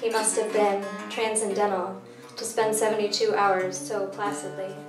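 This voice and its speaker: A woman's fairly high voice at a moderate pace, with ordinary pitch variation and noticeable background noise. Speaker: poet. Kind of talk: poetry reading. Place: stage.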